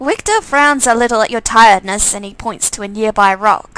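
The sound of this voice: A woman's fairly high, fairly bright voice, clear and smooth in tone, with ordinary pitch variation at a moderate pace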